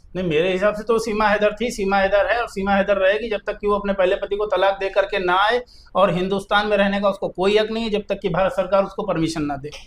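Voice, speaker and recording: With a high pitch and fairly even intonation, a man talks with hardly any pauses over noticeable background noise. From Uttar Pradesh, Kanpur. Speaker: lawyer. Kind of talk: interview discussion.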